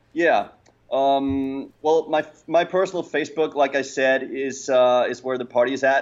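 At a moderate pace, a man of medium pitch speaks with a Danish accent. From Denmark. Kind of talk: interview. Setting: remote call.

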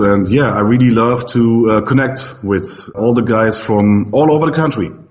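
A man at medium pitch, at a fairly slow pace, with audible room echo and noticeable background noise. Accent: German. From Germany. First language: German. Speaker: pinball streamer. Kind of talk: casual interview. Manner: hesitant, many fillers.

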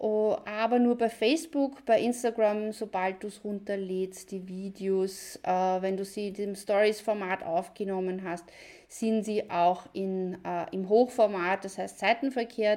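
With a Viennese accent, a woman speaks very slowly with hardly any pauses, at a medium pitch. Her tone is dark and mellow, her intonation fairly even, and the recording is very clean with a silent background. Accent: Viennese Austrian German. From Austria, near Vienna. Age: 40s. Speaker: online business video coach. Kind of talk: live video tutorial. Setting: live video stream from computer.

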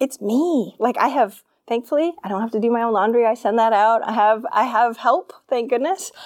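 A woman with an American accent uses a normal speaking voice at a moderate pace, with a fairly high pitch, ordinary pitch variation and hardly any pauses. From Maine, US. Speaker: business coach. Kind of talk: interview.

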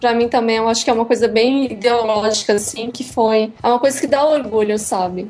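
Over noticeable background noise, a woman speaks fairly quickly at a fairly high pitch, with fairly even intonation and hardly any pauses. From Santa Catarina, Brazil (Criciúma). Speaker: comics blogger and design student. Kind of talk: casual interview.

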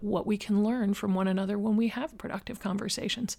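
A woman with an unremarkable speaking voice, pitched fairly high. She talks at a fairly quick pace. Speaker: podcast host. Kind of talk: interview moderation. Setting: video call.

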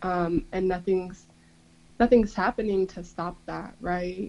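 Her tone is dark and mellow as this woman speaks at a medium pitch. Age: 20s. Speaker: community organizer and political educator. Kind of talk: casual chat.

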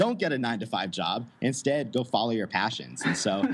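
A man with a plain, everyday voice speaks at a fairly quick pace and a medium pitch. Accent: American. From United States. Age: 20s. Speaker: digital nomad entrepreneur. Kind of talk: interview.

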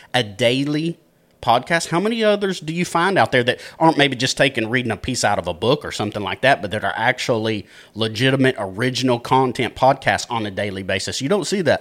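The speech comes at a fairly quick pace in a Texan accent, with lively intonation. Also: man, very clean recording, silent background. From Texas, Dallas area. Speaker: podcast producer and co-founder. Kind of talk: casual chat.

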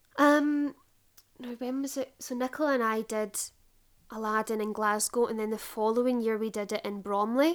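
A woman with a Scottish accent and a fairly high pitch. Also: fairly even intonation, moderate pace. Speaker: theatre performer. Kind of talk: casual chat. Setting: video call.

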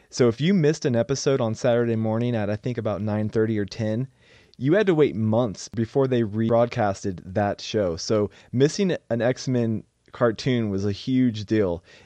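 A man with an American accent talks at a moderate pace, his pitch medium with ordinary variation and his tone dark and mellow. The sound is dry and close with no echo, over a quiet background. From Oregon. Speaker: podcast co-host. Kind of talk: casual chat.

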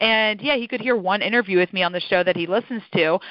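Energetic tone from a woman. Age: 20s. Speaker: podcast booking agency founder. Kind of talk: interview.

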